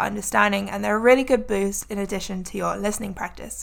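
The speech races at a very fast pace. The recording is very clean, with a silent background. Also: woman. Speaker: English tutor and podcast host. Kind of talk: solo podcast monologue for English learners. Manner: natural regular speed.

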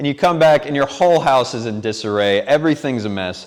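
In an unremarkable speaking voice, a man of medium pitch talks at a moderate pace with lively intonation. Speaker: preacher. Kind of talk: sermon. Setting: church.

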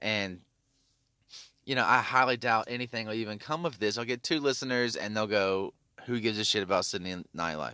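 A man talks at a fairly quick pace with a Tennessee accent. The recording is very clean, with a silent background. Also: ordinary pitch variation. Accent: Southern US (Tennessee). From US South, Memphis, Tennessee. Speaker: podcast host. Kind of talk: casual monologue rant. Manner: halting, many fillers.

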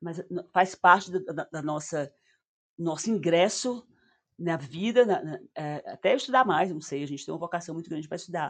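At a moderate pace, a woman speaks with fairly low pitch, lively intonation and big swings in loudness. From Northeast Brazil. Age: 60s. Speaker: psychotherapist. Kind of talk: casual interview.

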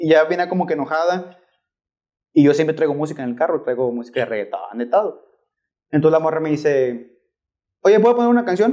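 The tone is dark and mellow, and the intonation is lively. The pace is fairly quick, broken by long, frequent pauses. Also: man, fairly high pitch for a man. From Tamaulipas, Mexico. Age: young. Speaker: ride-hailing driver. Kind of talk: casual chat.

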